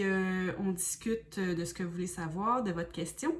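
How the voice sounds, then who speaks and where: The speaker talks with fairly even intonation in a Quebec accent. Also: woman. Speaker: spiritual medium and oracle card reader. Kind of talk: self-introduction and explanation to viewers. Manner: hesitant, many fillers.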